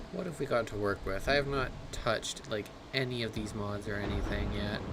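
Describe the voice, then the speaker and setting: There is noticeable background noise and audible room echo as a man speaks at a moderate pace. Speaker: gaming livestreamer. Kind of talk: live gameplay commentary. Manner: soft-spoken. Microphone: mic volume set too low, quiet.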